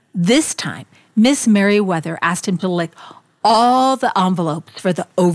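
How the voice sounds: Natural reading voice.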